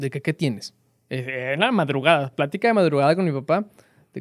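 A man talks at a fairly quick pace with a fairly high pitch and lively intonation. The sound is dry and close with no echo, on a very clean recording with a silent background. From northern Mexico, Coahuila / Monterrey area. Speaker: former university student. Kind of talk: interview. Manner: halting.

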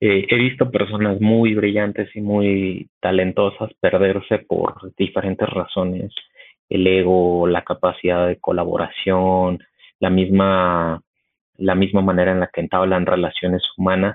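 A man speaks at a fairly slow pace with a very deep, low pitch. His intonation is monotone and flat, and his loudness stays very even. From Mexico City. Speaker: tech company engineer. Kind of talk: casual chat.

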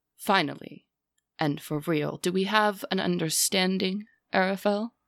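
A female-sounding voice performs a booming, put-on character voice at medium pitch and moderate pace. The recording is very clean, with a silent background. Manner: cold, contemptuous, commanding.

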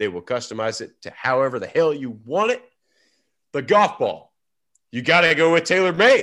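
Speaking at a moderate pace over a quiet background, a man with a high pitch and a bright, sharp tone makes very wide pitch swings. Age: 30s. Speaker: golf podcast co-host, pro golfer. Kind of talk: casual chat.

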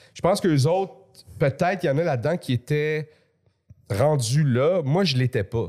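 A man speaks at a moderate pace with a fairly high pitch and a dark, mellow tone. His intonation is lively, broken by long, frequent pauses. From Quebec (Montreal, then Laval suburbs). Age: 40s. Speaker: comedian. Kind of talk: casual chat.

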